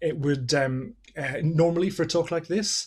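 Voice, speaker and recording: A man speaks in a somewhat breathy voice. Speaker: science festival speaker. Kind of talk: lecture. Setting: video call. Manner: soft-spoken; halting.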